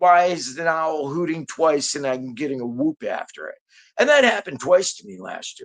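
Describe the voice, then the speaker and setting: Fairly slow speech in an American accent over a quiet background. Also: man. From Detroit, Michigan, US. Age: 60s. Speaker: hunter recounting encounters. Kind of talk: casual storytelling interview. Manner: repetitive, halting.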